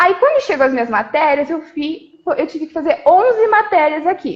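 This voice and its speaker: A woman speaks at an extremely high pitch. Her pitch swings very widely and her loudness shifts greatly. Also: moderate pace. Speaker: physiotherapist. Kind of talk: live stream interview.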